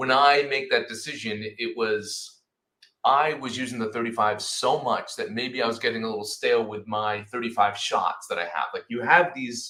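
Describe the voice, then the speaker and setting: A man speaks in an animated tone. His pitch is medium. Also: ordinary pitch variation, moderate pace. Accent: Rhode Island. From Rhode Island, US. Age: 40s. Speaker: photojournalist. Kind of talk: casual interview chat. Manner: animated, repeats words.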